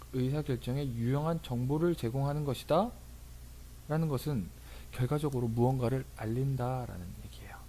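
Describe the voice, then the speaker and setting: A man with a medium pitch speaks in a somewhat breathy, dark, mellow tone, with audible room echo around him. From rural Korea. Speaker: tax accountant and lecturer. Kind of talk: lecture. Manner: casual, with fillers.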